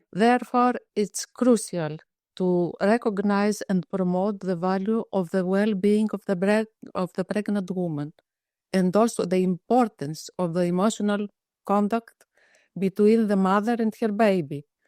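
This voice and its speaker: In a Greek accent, a woman speaks at a fairly slow pace with a dark, mellow tone, medium pitch and fairly even intonation, in a dry, close sound with no echo. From Greece. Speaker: psychiatrist. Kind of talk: interview. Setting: webinar.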